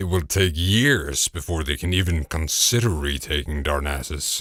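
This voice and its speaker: A man in a put-on character voice speaks at a moderate pace with a very deep, low pitch on a very clean recording with a silent background. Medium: read story. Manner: slow, deliberate.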